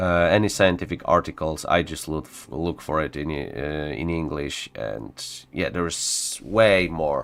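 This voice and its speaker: A man's very deep, low voice with a Polish accent, at a fairly slow pace, in a very clean recording with a silent background. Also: ordinary pitch variation. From Poland. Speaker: gaming streamer. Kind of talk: casual live stream chat. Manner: halting, many fillers.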